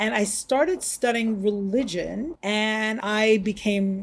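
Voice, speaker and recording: Her voice somewhat breathy, a woman speaks with an American accent and lively intonation. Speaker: rabbi. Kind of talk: interview.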